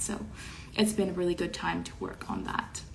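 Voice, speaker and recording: A woman with a slight French Canadian accent speaks amid audible room echo. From Quebec, Montreal. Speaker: online show host. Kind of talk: casual chat. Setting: livestream. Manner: halting.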